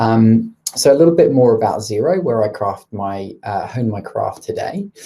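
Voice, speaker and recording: Someone speaks at a moderate pace with a British accent. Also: man. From UK. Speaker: product marketing leader. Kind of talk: webinar presentation. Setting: live online stream. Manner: hesitant, many filler ums.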